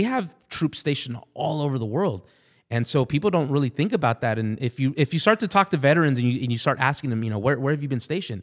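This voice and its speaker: On a very clean recording with a silent background, someone with an American accent speaks at a very fast pace with lively intonation. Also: man. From Southern California. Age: 40s. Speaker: army veteran and stand-up comedian. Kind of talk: casual interview. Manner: halting, many repeated words.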